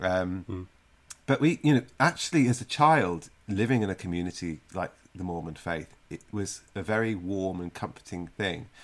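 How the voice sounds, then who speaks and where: A man's very deep, low voice, with big swings in loudness, lively intonation and a moderate pace. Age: 30s. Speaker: cake designer and TV baking show contestant. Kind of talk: casual interview.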